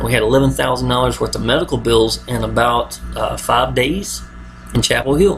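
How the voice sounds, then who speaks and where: A man talks with an American accent. Noticeable background noise can be heard. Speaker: online marketer. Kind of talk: video monologue. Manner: mumbling; casual, repetitive fillers.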